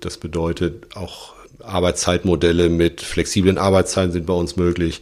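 A man speaks in a very deep, low voice. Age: 40s. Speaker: electrical engineer and engineering firm partner. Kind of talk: interview.

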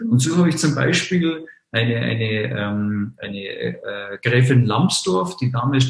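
With a Bavarian accent, a man talks at a fairly slow pace. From Munich, Bavaria. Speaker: online marketing entrepreneur, travel portal founder. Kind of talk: podcast interview.

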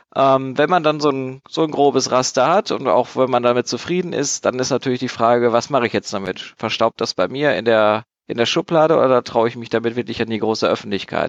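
An ordinary speaking voice moves at a fairly quick pace with hardly any pauses and ordinary pitch variation, recorded with a dry, close sound with no echo against a quiet background. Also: man, medium pitch for a man. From Germany, Dortmund (Ruhr area). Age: 20s. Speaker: board game designer. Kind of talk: casual chat.

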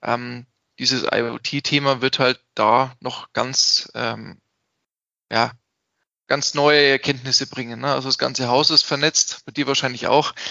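This man speaks at a very slow pace in a flat, monotone way, leaving long and frequent pauses. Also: medium pitch for a man. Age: 30s. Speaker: IT security company owner. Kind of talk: interview.

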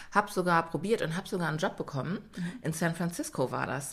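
In an unremarkable speaking voice, a woman speaks at a fairly low pitch with ordinary pitch variation. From Germany. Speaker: yoga and pilates trainer. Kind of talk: casual chat.

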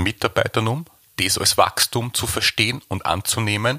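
With an Austrian accent, a man speaks at a moderate pace in a bright, sharp tone with ordinary pitch variation and a dry, close sound with no echo. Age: 30s. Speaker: baker and bakery owner. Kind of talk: interview.

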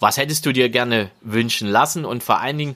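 Here a man speaks at a moderate pace and a medium pitch, with ordinary pitch variation. His tone is bright and sharp. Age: 40s. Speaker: podcaster, motivation coach. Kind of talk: solo podcast monologue. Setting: outdoors in a garden. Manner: warm, conversational. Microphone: new podcast recorder.

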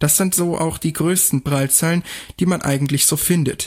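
This fairly high-pitched man has a plain, everyday voice, speaking at a moderate pace with fairly even intonation, captured as a dry, close sound with no echo on a very clean recording with a silent background. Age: 20s. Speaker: podcast host, blind student. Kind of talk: explainer talk.

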